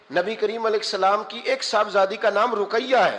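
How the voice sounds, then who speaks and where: A man's voice with ordinary pitch variation. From Pakistan. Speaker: Islamic scholar and preacher. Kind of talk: religious sermon.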